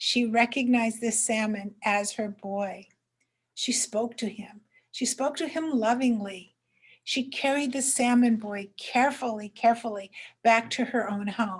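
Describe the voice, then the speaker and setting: A woman with an American accent speaks slowly in an unremarkable speaking voice, her pitch fairly high. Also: fairly even intonation. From southern Oregon coast, USA. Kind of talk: traditional story telling.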